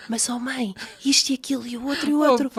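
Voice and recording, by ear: A put-on character voice, high and hoarse, at a very fast pace.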